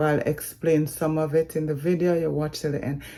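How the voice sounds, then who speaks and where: A woman speaks with a Jamaican accent. Her voice is very deep and low, with a dark, mellow tone. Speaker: vlogger. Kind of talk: vlog update.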